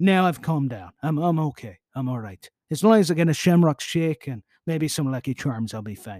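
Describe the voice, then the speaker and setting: A man at a fairly high pitch and fairly quick pace, lively intonation, big swings in loudness, a dry, close sound with no echo and a very clean recording with a silent background. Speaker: podcast host. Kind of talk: solo podcast monologue reading history. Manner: fast; animated, jokey.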